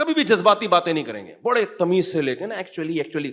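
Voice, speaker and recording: An animated man with a high-pitched voice and lively intonation. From Pakistan (Karachi). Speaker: Islamic scholar and mufti giving a sermon. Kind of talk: religious sermon (bayan) to an audience. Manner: conversational, animated, rhetorical questions.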